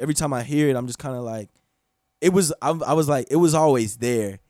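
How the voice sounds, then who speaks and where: An unremarkable speaking voice from a man with an American accent, medium pitch, ordinary pitch variation and a fairly quick pace, in a very clean recording with a silent background. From North Florida (Gainesville). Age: 20s. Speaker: rapper. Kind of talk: casual chat. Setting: studio.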